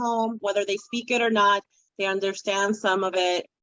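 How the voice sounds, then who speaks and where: A woman speaks with a Spanish accent at a medium pitch. Her pace is moderate and her intonation fairly even. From Dominican Republic, raised in New York City. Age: 40s. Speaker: children's book author. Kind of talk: interview conversation.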